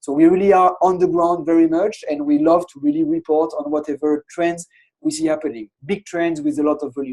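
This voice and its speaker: Dark and mellow in tone, a man speaks at a high pitch with a French accent. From France. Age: 30s. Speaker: innovation consultancy founder. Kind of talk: webinar presentation. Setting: online webinar with screen share.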